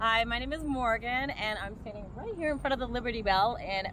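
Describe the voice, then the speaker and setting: Noticeable background noise and audible room echo fill this recording. A woman talks at a fairly quick pace with lively intonation. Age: 40s. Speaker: viewer at a meetup. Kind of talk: casual on-camera introduction. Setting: outdoors in front of a landmark.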